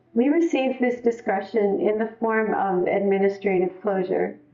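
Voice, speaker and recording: Fairly slow speech with fairly even intonation plays over music in the background. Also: woman. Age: 60s. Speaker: spouse of detained immigrant, speaker at rally. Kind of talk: testimony.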